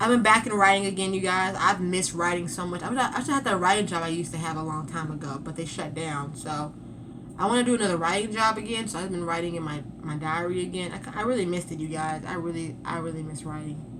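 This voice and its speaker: Talking very fast, a woman has a fairly low pitch and ordinary pitch variation. Audible room echo and noticeable background noise are present. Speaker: vlogger. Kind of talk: casual chat.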